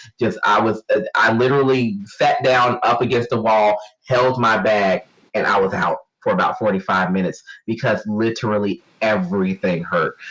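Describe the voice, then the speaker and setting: Very even loudness from a man at medium pitch and a moderate pace. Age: 30s. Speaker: podcast co-host. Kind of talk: casual chat. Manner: halting.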